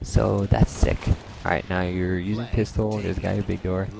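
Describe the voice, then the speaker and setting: Quiet, with music in the background, a man speaks at a very deep, low pitch. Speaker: gameplay commentator. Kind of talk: gameplay commentary. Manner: casual, filler-heavy.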